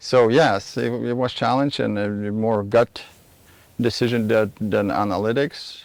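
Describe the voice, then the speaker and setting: A man with a Lithuanian accent at a fairly slow pace. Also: medium pitch for a man, fairly even intonation. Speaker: vacation rental owner. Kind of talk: TV interview. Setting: outdoors. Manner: halting.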